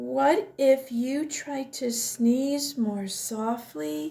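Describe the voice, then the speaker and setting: A woman does a put-on character voice at a high pitch and a very slow pace. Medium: read story. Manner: bright, eager.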